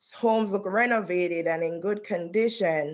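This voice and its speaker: A woman with a Caribbean accent speaks at a fairly slow pace. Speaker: trial attorney. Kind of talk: testimony. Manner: formal.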